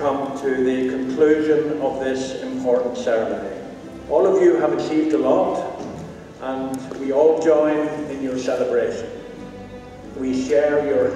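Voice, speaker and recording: Speech comes at a fairly slow pace with long, frequent pauses. Strong room echo is present, and clear music plays in the background. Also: man, fairly even intonation. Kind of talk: formal closing address. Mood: warm, formal. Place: hall. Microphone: podium.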